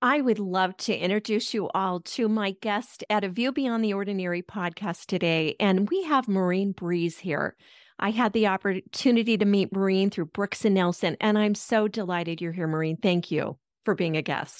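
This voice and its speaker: This woman has a plain, everyday voice at a medium pitch, speaking at a moderate pace with ordinary pitch variation. The recording is very clean, dry and close with no echo, and the background is silent. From Colorado, US. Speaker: podcast host. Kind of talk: interview.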